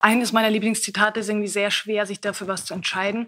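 This woman's voice sits fairly high and stays monotone and flat. The background is quiet. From Upper Austria, Linz; Upper Austria. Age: 20s. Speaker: stage actress. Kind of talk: casual interview. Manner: hesitant, many fillers. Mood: thoughtful, searching for words. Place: stage.

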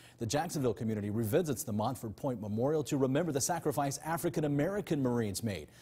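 A somewhat breathy man's voice with a dark, mellow tone, very wide pitch swings and a very fast pace. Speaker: news anchor. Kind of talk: news reading. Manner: steady, polished, formal anchor delivery. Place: studio.

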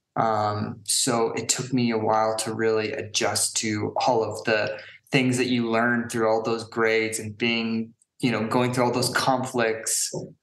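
With an American accent, a man speaks at a fairly slow pace in a medium pitch and a monotone, flat intonation, his voice picking up audible room echo. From US West Coast, San Francisco Bay Area. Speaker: dyslexia advocate and brand founder. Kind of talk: interview.

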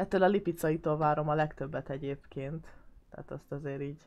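A woman speaks in a very deep, low voice with fairly even intonation against a quiet background. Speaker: gaming YouTuber. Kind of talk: gameplay commentary. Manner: casual, chatty.

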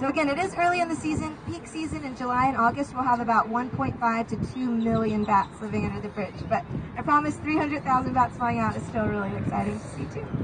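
A woman speaks at a fairly quick pace with hardly any pauses. Noticeable background noise runs behind her. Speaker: boat tour guide. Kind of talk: tour guide commentary. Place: boat.

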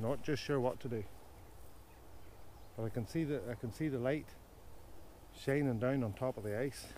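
Speaking at a moderate pace with ordinary pitch variation, a man has a dark, mellow tone in a dry sound with no echo and light background noise. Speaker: photographer vlogger. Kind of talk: casual vlog chat with photography tips. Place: waterside. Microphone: lapel.

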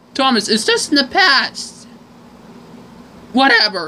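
This put-on character voice sounds female and is high-pitched. It moves at a fairly slow pace. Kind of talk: amateur fan dub acting. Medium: fan dub. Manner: dismissive, offhand.

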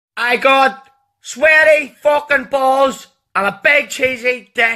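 Someone with a Northern Irish accent speaks at a very slow pace. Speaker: comedy dubber. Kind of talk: comedy voiceover dub of cartoon clips. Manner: crude, profane, brash.

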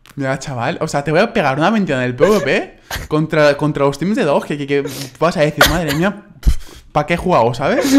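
Noticeable background noise sits under a man talking at a fairly quick pace, his pitch fairly high and its variation ordinary. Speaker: gaming YouTuber. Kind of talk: casual gaming commentary.

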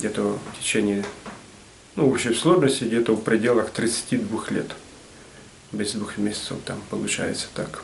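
Speaking at a fairly slow pace with long, frequent pauses, a man uses a medium pitch and ordinary pitch variation over light background noise. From Ukraine, Nikopol; Ukraine. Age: 60s. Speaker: retired metalworker and craftsman. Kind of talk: casual explanation of his artwork. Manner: halting, many fillers.

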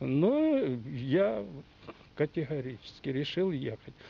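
A man's fairly high, somewhat breathy voice comes through in a dry sound with no echo. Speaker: retired oil geologist. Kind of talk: interview. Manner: halting. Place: garden.

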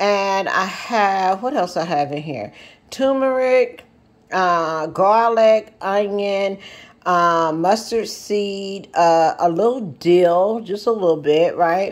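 A woman talks very slowly. She uses ordinary pitch variation. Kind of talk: tutorial. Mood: relaxed, friendly. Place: kitchen. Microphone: phone near.

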